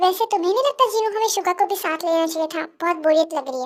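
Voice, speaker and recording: A woman's squeaky put-on character voice, extremely high in pitch, very fast, with lively intonation. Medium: read story.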